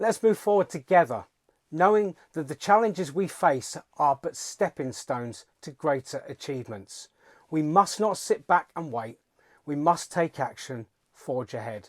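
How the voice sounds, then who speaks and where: A man speaks at a fairly slow pace with big swings in loudness. The recording is very clean with a silent background, and the sound is dry and close with no echo. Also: fairly high pitch for a man, lively intonation. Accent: British. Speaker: political commentator. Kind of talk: political speech. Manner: calm, resolute; formal.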